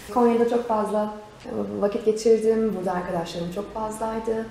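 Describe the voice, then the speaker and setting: The speech runs at a moderate pace against noticeable background noise. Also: woman. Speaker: voice actor and program host. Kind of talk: interview answer.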